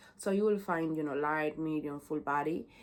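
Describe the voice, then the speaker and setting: A woman speaks in a Latin American accent. Her pitch varies in an ordinary way. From Honduras. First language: Spanish. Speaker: brand ambassador. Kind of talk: casual product presentation. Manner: halting, many fillers and repetitions.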